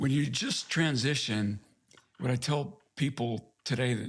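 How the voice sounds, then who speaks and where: This man speaks in a medium pitch with an American accent. His voice is somewhat breathy, with ordinary pitch variation. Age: 60s. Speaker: navy veteran, author. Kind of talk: interview.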